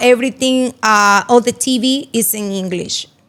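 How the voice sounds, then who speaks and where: A bright, sharp tone at a fairly slow pace, in a Spanish accent. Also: woman. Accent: Spanish accent, noticeable. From Dominican Republic, Santiago. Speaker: real estate broker. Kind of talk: interview.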